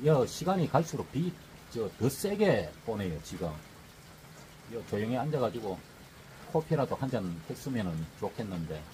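Long pauses come often as a man talks at a moderate speed against clear background noise. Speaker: travel vlogger. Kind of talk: casual vlog chat. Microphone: phone near.

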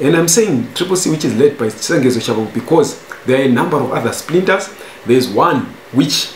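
A man with ordinary pitch variation, audible room echo and light background noise. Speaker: news commentator. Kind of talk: commentary. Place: home room.

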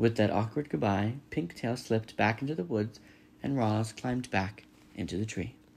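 Reading aloud in a natural voice, with ordinary variation in pitch

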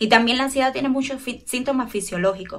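With ordinary pitch variation, a woman rattles through her words at a very fast pace. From Cuba. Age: 20s. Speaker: clinical psychologist; guest. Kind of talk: casual chat. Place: home room. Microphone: earbuds.

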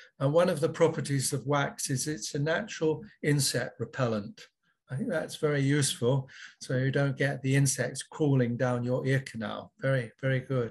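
A man's somewhat breathy, fairly high voice with ordinary pitch variation and a moderate pace, over a quiet background. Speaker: ear surgeon; panelist. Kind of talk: panel discussion. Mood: friendly, light humour. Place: home room. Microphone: webcam.

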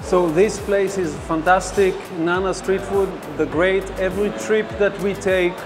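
A man speaks at a high pitch in a monotone, flat intonation. Clear music plays in the background. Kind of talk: testimonial to camera. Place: cafe.

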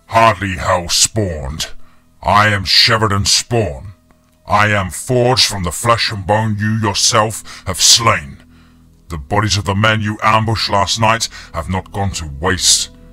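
A man puts on a gravelly character voice, fairly low in pitch and delivered at a fairly slow pace, with faint music in the background. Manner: mocking, menacing.

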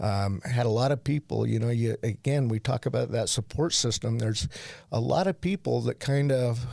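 A man speaks at medium pitch and a moderate pace, with very even loudness and ordinary pitch variation. His tone is dark and mellow, the sound dry with no echo over a quiet background. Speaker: addiction treatment center founder. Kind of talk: personal testimony. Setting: studio. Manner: halting. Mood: earnest, reflective. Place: studio. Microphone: studio mic.

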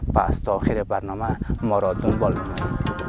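A man speaks over loud background noise. The sound itself is dry, with no echo. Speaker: TV presenter. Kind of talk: TV programme intro. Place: open country.

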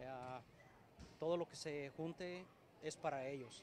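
This man's voice sits fairly high in pitch. The sound is dry with no echo, over light background noise. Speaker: amateur football team founder. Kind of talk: interview. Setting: sports complex. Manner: halting. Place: hall. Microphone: poor live stream signal; handheld.

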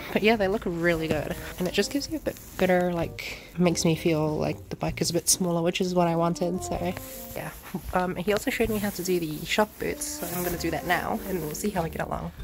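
Clear music plays in the background as a woman with fairly low pitch talks at a very fast pace with ordinary pitch variation. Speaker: motovlogger. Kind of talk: casual vlog chat. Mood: cheerful, upbeat. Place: garden. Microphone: phone near.

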